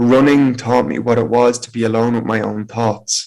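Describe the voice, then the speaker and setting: At a moderate pace, the speaker talks with an Irish accent and monotone, flat intonation. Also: man. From Ireland, County Meath. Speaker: motivational speaker. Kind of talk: personal testimony talk.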